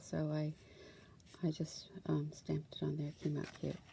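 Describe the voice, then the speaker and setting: A soft-spoken woman with a very deep, low pitch, monotone, flat intonation and a fairly slow pace. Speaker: crafting YouTuber. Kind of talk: casual craft show-and-tell. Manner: hesitant, many fillers.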